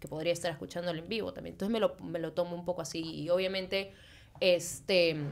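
A woman with vocal fry and a fairly low pitch talks at a very fast pace in a monotone, flat intonation, her loudness swinging widely. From Peru, Lima; Peru. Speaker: musician; podcast guest. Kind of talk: casual chat. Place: studio. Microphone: studio mic.

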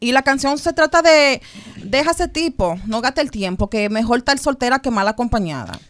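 A woman's high voice at a moderate pace, with lively intonation and a quiet background. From New York. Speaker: model and singer; interview guest. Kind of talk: radio interview; interview answer. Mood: relaxed, candid. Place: studio. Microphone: studio mic.

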